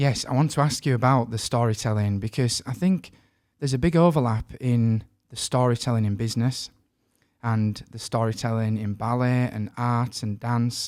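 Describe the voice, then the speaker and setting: A man speaks with a northern English accent. His pace is moderate and his pitch variation ordinary. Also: medium pitch for a man, very clean recording, silent background. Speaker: podcast host. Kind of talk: interview.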